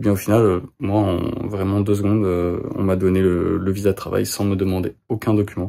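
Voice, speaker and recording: A man speaks with a dark, mellow tone and fairly low pitch. His intonation stays fairly even. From France. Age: 20s. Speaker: vlogger. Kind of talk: vlog. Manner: hesitant, many fillers.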